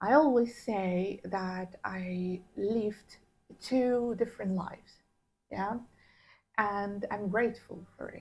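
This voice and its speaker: Somewhat breathy and at medium pitch, a woman talks at a very slow pace with fairly even intonation, big swings in loudness and long, frequent pauses. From Iraqi Kurdistan. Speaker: interviewee sharing life story. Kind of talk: interview. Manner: halting, many fillers.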